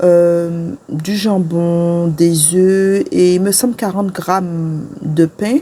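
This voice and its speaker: Noticeable background noise surrounds this recording. The woman speaks at a very slow pace. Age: 40s. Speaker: lifestyle vlogger. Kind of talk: vlog narration. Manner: hesitant with many fillers.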